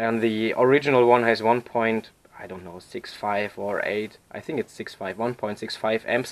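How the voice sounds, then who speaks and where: A man with a non-native accent speaks at a moderate pace and medium pitch. His intonation stays fairly even while his loudness swings widely. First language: not English. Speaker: repair tutorial maker. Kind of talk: tutorial. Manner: halting, many fillers.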